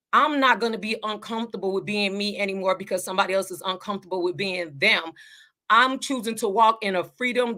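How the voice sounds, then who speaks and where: On a very clean recording with a silent background, a woman with a Southern US accent speaks at medium pitch in an animated, bright, sharp tone with ordinary pitch variation. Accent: Southern-tinged country dialect. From Chicago suburbs, US Midwest. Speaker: life coach, vlogger. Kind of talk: motivational vlog talk. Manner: animated, repetitive with self-corrections.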